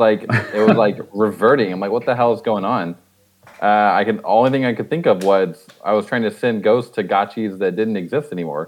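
In a normal speaking voice, a man talks at a fairly quick pace, fairly low in pitch with ordinary pitch variation. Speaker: crypto game project team member. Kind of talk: casual chat. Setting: online group call.

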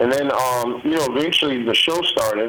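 The speaker moves at a fairly quick pace. Noticeable background noise is present. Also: man. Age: 50s. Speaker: true crime author. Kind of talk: casual interview. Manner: halting, many fillers.

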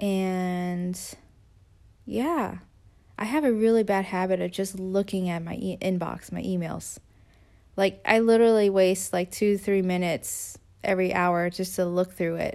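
On a very clean recording with a silent background, a woman with a plain, everyday voice speaks at a medium pitch with fairly even intonation. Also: fairly slow pace. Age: 20s. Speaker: podcast host. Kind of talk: solo motivational monologue. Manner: casual, with fillers and laughs.

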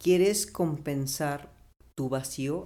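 Here a man speaks in a Mexican accent with a dark, mellow tone. His intonation stays fairly even. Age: 30s. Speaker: biologist. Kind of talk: casual chat.

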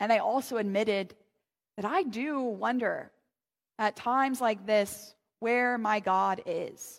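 A woman with an American accent speaks very slowly, her pitch fairly high. Long pauses come often, and her pitch varies in an ordinary way. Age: 30s. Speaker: pastor. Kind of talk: sermon.

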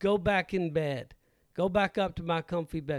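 High-pitched man's voice on a very clean recording with a silent background. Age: 50s. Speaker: realtor and podcast co-host. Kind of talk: casual chat.

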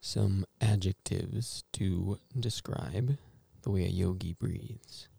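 A man talks at a very slow pace in a gentle, calm tone. His voice is dark and mellow, with vocal fry. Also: fairly low pitch for a man, ordinary pitch variation. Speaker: meditation guide. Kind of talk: guided meditation. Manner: slow, calm, soothing, with long pauses; gentle, instructive, quietly reflective.

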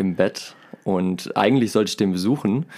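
In a very clean recording with a silent background, a man talks fairly slowly at a fairly low pitch. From Germany, Remscheid (North Rhine-Westphalia). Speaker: musician. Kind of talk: casual chat.

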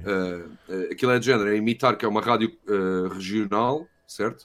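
This is a man with a normal speaking voice, fairly low in pitch with ordinary pitch variation. He speaks at a moderate pace on a very clean recording with a silent background. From Portugal. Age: 30s. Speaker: university professor and film buff. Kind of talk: casual chat.

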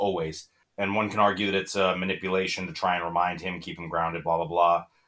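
A man's very deep, low voice at a very fast pace. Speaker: podcast host. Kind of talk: casual chat.

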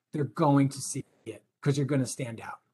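This man speaks at a fairly quick pace. His voice is somewhat breathy. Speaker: career advice speaker. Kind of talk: career advice talk to students. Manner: fast.

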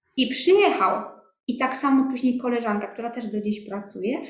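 A woman with a high voice speaks at a moderate pace amid audible room echo. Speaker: business owner. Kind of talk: interview. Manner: casual.

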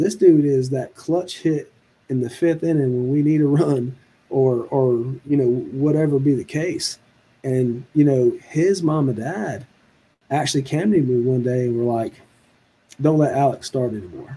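At a fairly slow pace, a man with a fairly high pitch speaks in a somewhat breathy, dark, mellow tone with ordinary pitch variation. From Virginia Beach, Virginia. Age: 40s. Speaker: high school baseball coach. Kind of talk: casual interview.

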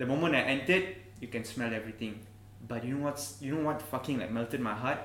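A man talks at a very fast pace in a medium pitch with ordinary pitch variation. Noticeable background noise is present. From Malaysia. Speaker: travel YouTuber. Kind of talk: casual chat.

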